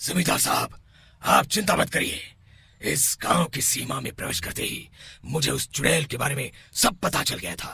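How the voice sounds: Putting on a cartoonish character voice, a man speaks at a fairly high pitch with lively intonation. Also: moderate pace.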